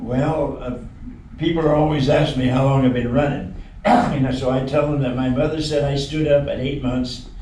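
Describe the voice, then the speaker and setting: With an American accent, a man with a fairly high voice speaks at a moderate pace. Audible room echo and noticeable background noise are present. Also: fairly even intonation. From US Midwest (Kansas). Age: 90s. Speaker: WWII veteran and long-distance runner. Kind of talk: TV interview. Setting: TV studio. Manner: halting.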